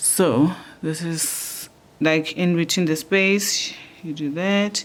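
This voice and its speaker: A woman's fairly low voice at a very slow pace, with fairly even intonation. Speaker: crochet tutor. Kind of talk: tutorial. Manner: casual, conversational.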